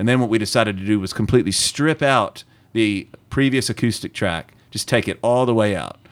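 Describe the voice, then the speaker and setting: With a strong Southern US accent, a man talks at a fairly quick pace in a fairly low voice. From US South. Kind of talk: casual interview chat.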